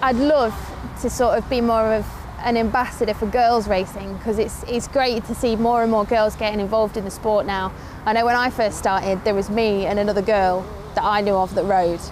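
A woman speaks at a fairly quick pace with a fairly high pitch, her intonation fairly even. Her loudness stays very even over noticeable background noise. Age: 20s. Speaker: motorcycle racer and motorsports TV presenter. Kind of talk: casual vlog talk to camera. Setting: outdoors at a race track. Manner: halting, many fillers and repeated words.

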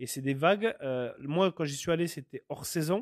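A man at a moderate pace with ordinary pitch variation, on a very clean recording with a silent background and a dry, close sound with no echo. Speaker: podcast host. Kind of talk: solo monologue podcast. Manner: hesitant, many fillers.

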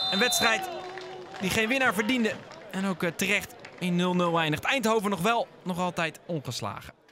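A man's high, raised and projected voice at a moderate pace with ordinary pitch variation, over noticeable background noise. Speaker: football commentator. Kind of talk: live sports commentary, match highlights voice-over. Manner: matter-of-fact, steady play-by-play, describing action as it happens.

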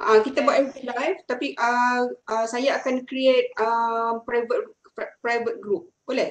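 A woman speaks at a high pitch and a fairly slow pace, with ordinary pitch variation. Audible room echo surrounds her voice. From Malaysia. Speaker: university lecturer. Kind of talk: lecture. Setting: video call. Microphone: video call.

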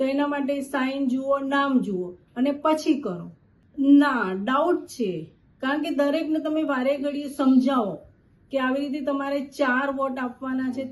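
A woman speaks at a high pitch with ordinary pitch variation. Room echo is audible. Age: 50s. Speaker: voter interviewed on the street. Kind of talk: vox pop interview.

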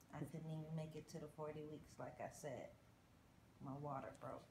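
A woman's very deep, low voice, somewhat breathy and weary in tone, with monotone, flat intonation at a moderate pace, over noticeable background noise. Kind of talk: casual vlog chat. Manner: slow, weary, low-energy speech.

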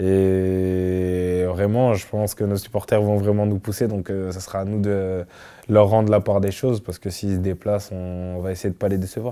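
Against a quiet background, a man speaks at a moderate pace in a fairly low, dark, mellow voice with monotone, flat intonation. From France, Clermont-Ferrand; France. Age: 20s. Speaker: professional footballer. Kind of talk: interview. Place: studio. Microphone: lapel.

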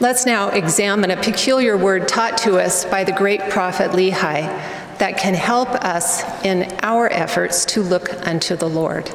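Fairly slow, fairly even delivery with audible room echo and light background noise. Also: woman. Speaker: speaker. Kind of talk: sermon. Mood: earnest, reverent. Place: hall. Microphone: podium.

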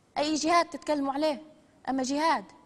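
At a moderate pace, a woman speaks with a Libyan accent. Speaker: TV presenter. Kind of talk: live TV broadcast address. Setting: TV studio. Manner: hysterical, threatening. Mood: defiant, threatening. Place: studio.

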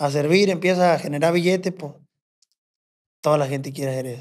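Moving at a fairly quick pace, a man speaks with ordinary pitch variation. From Mexico, rural ranch. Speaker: bush pilot and corrido composer; podcast guest. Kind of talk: casual storytelling chat. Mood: relaxed, laid-back storytelling. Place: studio. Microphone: studio mic.

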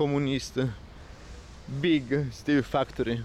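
A man speaks at a very slow pace in a monotone, flat intonation. The sound is dry with no echo, over light background noise. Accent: Italian. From Italy. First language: Italian. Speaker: travel vlogger. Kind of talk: vlog walking tour narration. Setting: outdoors walking around city. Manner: halting, hesitant non-native phrasing. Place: street. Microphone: phone near.

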